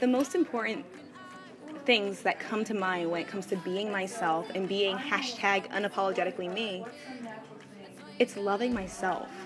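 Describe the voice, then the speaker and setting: Noticeable background noise accompanies a woman with an American accent speaking at a moderate pace, medium in pitch with ordinary variation, pausing long and often. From New Jersey, US (near Newark). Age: 20s. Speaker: entrepreneur. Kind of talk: personal testimony.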